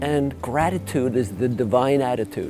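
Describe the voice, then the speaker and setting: A man keeps a moderate pace while music plays behind him. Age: 70s. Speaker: cancer survivor and patient counselor. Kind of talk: testimony.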